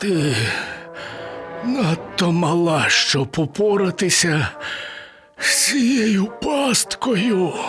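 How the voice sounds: A man's put-on character voice, high-pitched and fairly bright, with lively intonation, a very slow pace, long, frequent pauses and faint music in the background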